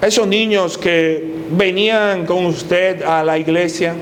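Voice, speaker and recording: A man speaks at a high pitch. Audible room echo and noticeable background noise surround his voice. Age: 60s. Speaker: pastor. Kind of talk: sermon.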